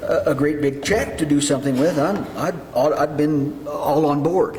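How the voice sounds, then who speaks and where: With audible room echo and noticeable background noise, a man speaks slowly-ish at a fairly slow pace in a fairly high pitch with fairly even intonation. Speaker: mayor chairing city council. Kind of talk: council meeting discussion. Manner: halting, repeats words.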